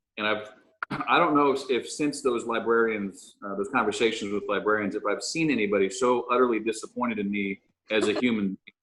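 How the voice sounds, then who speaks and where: At a fairly quick pace, a man talks at a medium pitch with a slight Southern US accent. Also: ordinary pitch variation. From moved around a lot as a military child. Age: 40s. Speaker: chef and restaurant owner. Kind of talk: casual interview chat. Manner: hesitant, many fillers.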